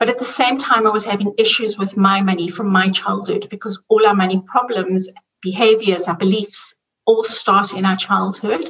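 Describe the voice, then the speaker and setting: A woman with a South African accent speaks with fairly even intonation. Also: medium pitch for a woman, moderate pace. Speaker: money coach. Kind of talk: interview.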